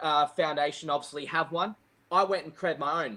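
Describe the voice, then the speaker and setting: Loud and with a bright, sharp tone, a man speaks. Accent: Australian. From Australia. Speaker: golf professional and junior coach. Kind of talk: casual interview chat. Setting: live video podcast.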